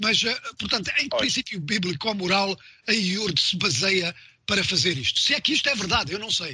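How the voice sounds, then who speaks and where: Over noticeable background noise, a man with a high pitch uses a raised, projected voice and lively intonation. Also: moderate pace. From Mozambique. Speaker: radio host. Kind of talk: radio interview; news reading.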